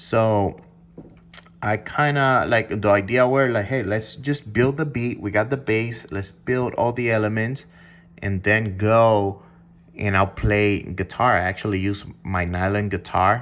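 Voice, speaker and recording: A man with a non-native accent speaks at a fairly slow pace in a fairly low pitch, with ordinary pitch variation. The recording is very clean, with a silent background. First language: not English. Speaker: music producer. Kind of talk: casual explanation of music production. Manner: hesitant, filler-heavy.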